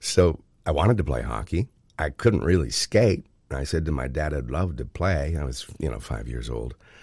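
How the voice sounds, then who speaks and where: A man with a very deep, low voice and vocal fry speaks at a moderate pace. His intonation is lively. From Ontario, Canada (Oshawa). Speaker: radio host and podcaster. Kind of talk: interview conversation. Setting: remote interview.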